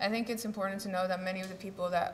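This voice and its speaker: A woman talks very fast. Noticeable background noise and audible room echo can be heard. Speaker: symposium speaker, activist. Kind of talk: conference talk. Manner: halting, many fillers and repetitions.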